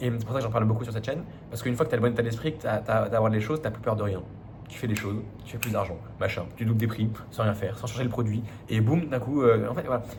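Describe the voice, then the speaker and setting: In a room with audible echo, a man at medium pitch speaks at a very fast pace. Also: fairly even intonation. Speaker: business coach. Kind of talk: business advice monologue. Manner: casual, many fillers and restarts.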